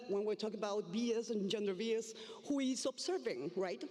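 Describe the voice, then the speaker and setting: A woman talks with a Spanish accent. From Argentina, Buenos Aires. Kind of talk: conference presentation. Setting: stage with audience. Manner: halting, many fillers.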